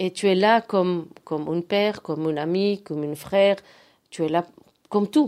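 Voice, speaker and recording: A woman speaks at a moderate pace with medium pitch and ordinary pitch variation. She leaves long, frequent pauses in a very clean recording with a silent background. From Belgium (Antwerp). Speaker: youth movement committee member. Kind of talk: radio interview. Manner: halting, repetitive.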